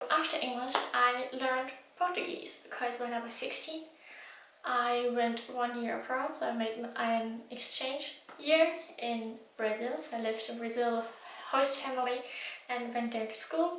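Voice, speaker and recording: A woman speaks at a high pitch with a German accent and ordinary pitch variation. Room echo is audible, and background noise is noticeable. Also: moderate pace. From Germany. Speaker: language learning vlogger. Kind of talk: casual vlog talk. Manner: hesitant with many fillers.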